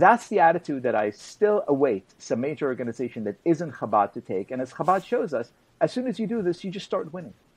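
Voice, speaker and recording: At a fairly quick pace, a man talks in a fairly high pitch with very wide pitch swings. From Israel. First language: Hebrew. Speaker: journalist and author; guest commentator. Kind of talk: interview. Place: home room. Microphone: video call.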